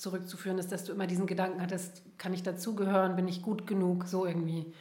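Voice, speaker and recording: The words come at a very fast pace, with audible room echo around them. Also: woman. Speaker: podcast host, therapist. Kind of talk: interview conversation. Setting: in-person, coaching room.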